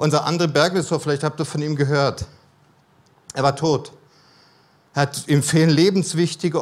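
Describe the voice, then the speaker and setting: Fairly even intonation at a moderate pace, broken by long, frequent pauses. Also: man. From Germany, mixed (Cologne, Berlin, Baden-Württemberg). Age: 50s. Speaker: missionary speaker. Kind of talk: sermon. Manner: calmer, less dynamic.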